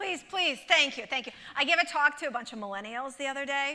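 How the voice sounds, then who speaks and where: A woman talks in a raised, projected voice that is high, bright and sharp. Her intonation is lively and her pace fairly quick. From Russia (former Soviet Union). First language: Russian. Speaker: motivational speaker and author. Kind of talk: keynote talk. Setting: theatre stage with audience.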